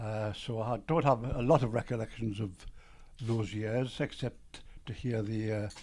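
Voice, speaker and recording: With a dark, mellow tone at medium pitch, a man speaks at a fairly slow pace and with fairly even intonation. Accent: Geordie. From Newcastle, northern England (Byker). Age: 80s+. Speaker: retired businessman and composer. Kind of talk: interview storytelling. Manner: halting, with fillers.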